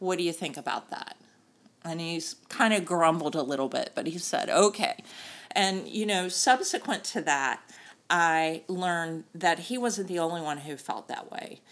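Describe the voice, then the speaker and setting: A woman has a normal speaking voice with an American accent. Her pitch is fairly low, with ordinary pitch variation, and her pace moderate. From US South, North Carolina. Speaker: sports tech executive and board member. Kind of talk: interview.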